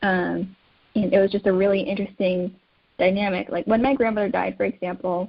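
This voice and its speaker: Speaking in an ordinary speaking voice, a woman with an American accent keeps a moderate pace and a medium pitch with ordinary pitch variation. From United States. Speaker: caregiving advocate. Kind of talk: interview.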